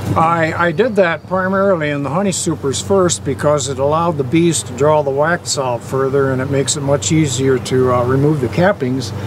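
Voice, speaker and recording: A fairly quick pace with hardly any pauses and ordinary pitch variation, over noticeable background noise. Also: man, fairly high pitch for a man. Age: 70s. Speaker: beekeeper. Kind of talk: interview.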